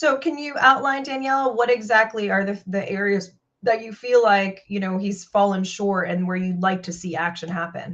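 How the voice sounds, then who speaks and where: In an unremarkable speaking voice, the speaker goes at a moderate pace with hardly any pauses, ordinary pitch variation and big swings in loudness. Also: woman, medium pitch for a woman. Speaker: podcast host. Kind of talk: interview.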